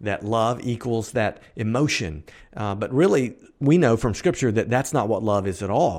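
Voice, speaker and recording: A man with an American accent at medium pitch, lively intonation and a moderate pace, on a very clean recording with a silent background. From US South. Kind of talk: casual faith commentary monologue. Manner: hesitant fillers, repeated words.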